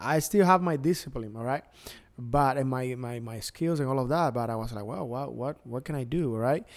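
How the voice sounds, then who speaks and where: On a very clean recording with a silent background, a man with a Cuban accent talks at a moderate pace and medium pitch with ordinary pitch variation. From Cuba, Pinar del Río. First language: Spanish. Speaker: DJ and entertainer. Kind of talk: casual interview. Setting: studio, video podcast.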